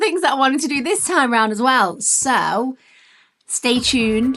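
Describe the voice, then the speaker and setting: Moderately paced speech in a British accent with lively intonation. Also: woman. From UK. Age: 40s. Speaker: travel vlogger. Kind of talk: travel vlog narration. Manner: casual, chatty.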